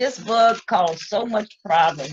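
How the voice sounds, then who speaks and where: A woman speaks in a somewhat breathy voice. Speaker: storyteller. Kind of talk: casual storytelling to camera.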